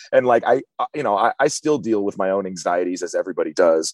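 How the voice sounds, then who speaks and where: Someone with an American accent speaks very fast with lively intonation, in a dry, close recording with no echo and a silent background. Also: man. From US West Coast. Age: 30s. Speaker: hardcore band singer. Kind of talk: interview. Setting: in a van.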